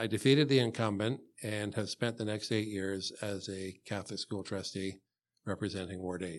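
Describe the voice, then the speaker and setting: Against a quiet background, someone with a Canadian accent talks at a moderate pace with fairly even intonation in an unremarkable speaking voice. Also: man, fairly low pitch for a man. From Canada, Hamilton, Ontario. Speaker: school board trustee candidate. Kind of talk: interview. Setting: studio.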